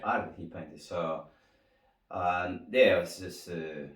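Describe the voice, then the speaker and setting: Speaking at a fairly slow pace, a man talks with an Argentine accent. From Argentina. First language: Spanish. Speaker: winemaker. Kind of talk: interview answer.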